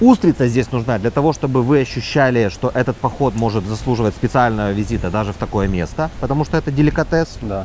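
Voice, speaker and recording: Noticeable background noise sits under a man talking at a very fast pace with hardly any pauses. His medium pitch shows ordinary variation. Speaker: restaurateur. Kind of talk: interview.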